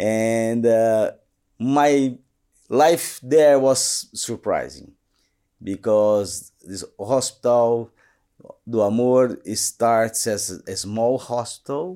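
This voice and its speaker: In a Portuguese accent, a man with a medium pitch and a dark, mellow tone speaks at a very slow pace with ordinary pitch variation, in a very clean recording with a silent background. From Brazil, São Paulo. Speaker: colorectal surgeon. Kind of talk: interview. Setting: studio.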